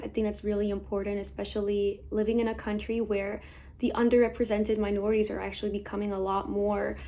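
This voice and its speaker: A woman with a Spanish accent. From Mexico, then Texas from age eight. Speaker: medical student. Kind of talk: testimony.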